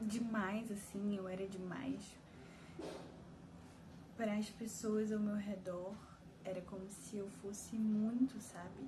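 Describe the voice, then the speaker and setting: A woman's very slow, monotone, flat delivery, with long, frequent pauses and noticeable background noise. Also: medium pitch for a woman. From Belém, Brazil. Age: 20s. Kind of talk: personal vent to camera. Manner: emotional, confessional.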